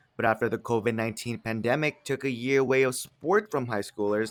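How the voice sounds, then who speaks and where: A man's plain, everyday voice, medium in pitch and fairly quick in pace, on a very clean recording with a silent background. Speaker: journalist. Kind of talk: news package narration.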